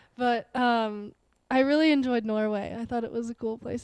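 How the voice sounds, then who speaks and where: A woman speaks at a moderate pace. Her voice is fairly high, with a dark, mellow tone. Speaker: Nordic skier. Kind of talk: casual chat.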